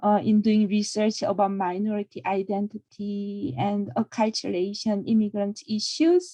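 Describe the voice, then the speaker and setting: A woman with a Korean accent speaks at a moderate pace with hardly any pauses, her medium-pitched, somewhat breathy voice dark and mellow in tone, with ordinary pitch variation and a dry, close sound with no echo. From South Korea. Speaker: counseling professor. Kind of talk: self-introduction.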